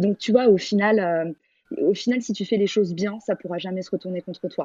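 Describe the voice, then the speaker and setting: The woman's tone is dark and mellow, her intonation fairly even. She speaks at a fairly quick pace in a dry, close sound with no echo. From Paris, France. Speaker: entrepreneur and teacher. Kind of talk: interview. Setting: audio chat room.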